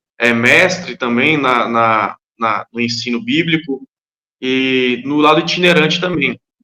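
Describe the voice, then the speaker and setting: This man's voice sits at a medium pitch with a bright, sharp tone and ordinary pitch variation. The sound is dry and close, with no echo. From Brazil, Minas Gerais (Montes Claros). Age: 30s. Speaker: itinerant preacher. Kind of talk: podcast interview.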